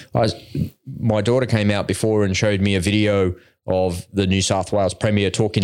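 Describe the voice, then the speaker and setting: A fairly quick pace from a man with an Australian accent. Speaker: podcast host. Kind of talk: casual chat.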